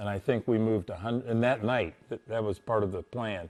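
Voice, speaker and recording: A man's medium-pitched voice carries a dark, mellow tone and fairly even intonation. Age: 70s. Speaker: former prison warden. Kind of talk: interview recollection. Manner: halting, with many repeated words and fillers.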